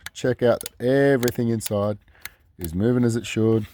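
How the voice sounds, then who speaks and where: The man has an Australian accent. His voice has a dark, mellow tone. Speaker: DIY car video maker. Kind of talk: tutorial. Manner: casual.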